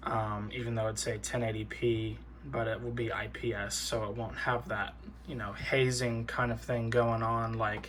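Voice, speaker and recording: A man talks at a fairly slow speed. The room echo is audible. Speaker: tech YouTuber. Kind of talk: casual product walkthrough. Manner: hesitant, many fillers.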